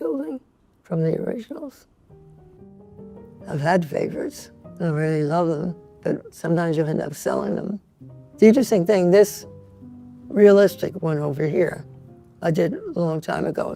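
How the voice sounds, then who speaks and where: Speaking with a New York accent, a woman uses lively intonation at a fairly low pitch and takes long, frequent pauses. Music plays behind her. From New York (Bronx). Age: 80s+. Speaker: painter. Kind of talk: interview answer.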